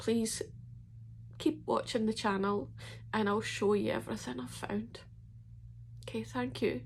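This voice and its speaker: With a Scottish accent, a woman speaks at a fairly slow pace. She leaves long, frequent pauses. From Scotland. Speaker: ex-member telling her story. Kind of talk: personal testimony to camera.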